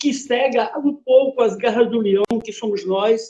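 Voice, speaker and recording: A man talks at an extremely high pitch with ordinary pitch variation. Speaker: writer and poet giving a talk. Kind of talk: lecture.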